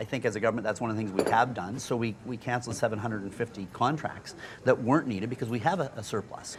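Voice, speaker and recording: Speaking very fast with a Canadian accent, a man shows ordinary pitch variation against noticeable background noise. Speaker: politician. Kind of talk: casual chat. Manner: high energy.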